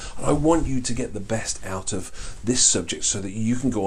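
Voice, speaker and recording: Medium-pitched male voice with lively intonation, audible room echo and noticeable background noise. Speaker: life coaching trainer, course instructor. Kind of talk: online course lecture. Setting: filmed with board, to camera. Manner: fast; animated.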